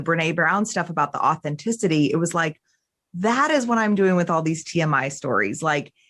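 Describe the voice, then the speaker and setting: On a very clean recording with a silent background, a woman with a New Jersey accent sounds animated, speaking in a fairly low pitch with lively intonation. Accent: New Jersey American. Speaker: podcast host. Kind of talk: casual chat. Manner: fast.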